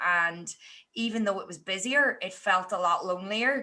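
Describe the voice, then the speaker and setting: A woman with an Irish accent speaks at a medium pitch in a bright, sharp tone. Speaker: teacher and podcaster. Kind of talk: podcast interview.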